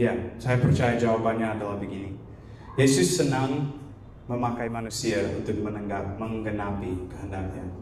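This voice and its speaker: A man speaks at a moderate pace with a medium pitch and ordinary pitch variation, with audible room echo and noticeable background noise. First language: not Indonesian (speaking Indonesian). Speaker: guest preacher. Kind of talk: sermon. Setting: church.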